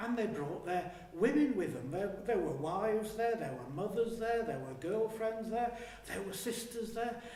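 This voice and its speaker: A man's high voice moves with lively intonation, heard through noticeable background noise. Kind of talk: historical monologue, first-person storytelling, theatrical performance. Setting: live theatre performance in a hall. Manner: narrative storytelling, reflective.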